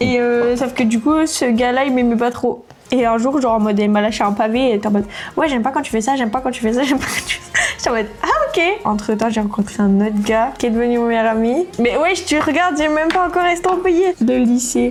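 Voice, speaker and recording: Music plays in the background as the speaker rushes along at a very fast pace with lively intonation and hardly any pauses. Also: woman, high pitch for a woman. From France, Var. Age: 20s. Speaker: student. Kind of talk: casual chat.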